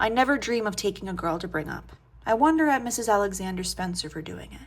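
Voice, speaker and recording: A soft-spoken woman talks at a fairly quick pace. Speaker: audiobook reader. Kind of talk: reading aloud.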